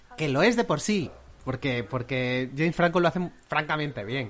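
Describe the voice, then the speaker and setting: A man speaks quickly, with a fairly high pitch. He has a Spanish accent. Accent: Peninsular Spanish. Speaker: film podcast host. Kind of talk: casual chat.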